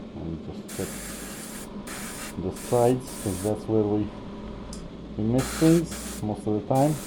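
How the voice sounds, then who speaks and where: Against noticeable background noise, the speech moves at a very slow pace with long, frequent pauses. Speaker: miniature painter. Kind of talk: tutorial. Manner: casual.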